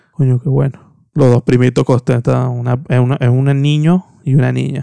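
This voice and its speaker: A man talks at a fairly slow pace in an animated tone, the sound dry and close with no echo. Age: 20s. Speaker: podcast host. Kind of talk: casual solo podcast monologue.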